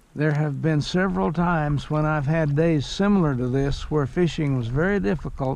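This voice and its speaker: A man with a fairly high pitch and ordinary pitch variation speaks at a moderate pace with hardly any pauses and very even loudness. Audible room echo fills the recording. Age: 80s+. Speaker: fishing video creator. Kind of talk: outdoor vlog narration. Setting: outdoors in a kayak on a river.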